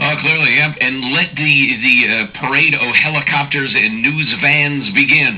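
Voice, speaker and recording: With noticeable background noise, a man talks at a fairly slow pace and fairly high pitch, with ordinary pitch variation and very even loudness. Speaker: radio host.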